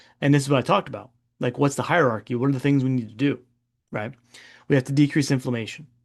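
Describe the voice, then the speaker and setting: A man speaks at a medium pitch with fairly even intonation and a very fast pace. The background is quiet. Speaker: functional medicine doctor. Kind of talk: webinar presentation. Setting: live webinar. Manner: casual, conversational.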